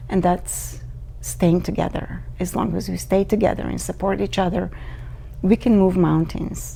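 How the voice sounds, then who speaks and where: There is noticeable background noise. Over it, a woman speaks at a fairly slow pace. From Bulgaria. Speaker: immigrant. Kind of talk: personal testimony. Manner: hesitant, many fillers.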